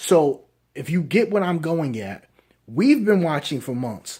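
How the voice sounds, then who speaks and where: Quiet and fairly slow, the voice moves through very wide pitch swings. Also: man. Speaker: anime reviewer. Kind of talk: casual video review.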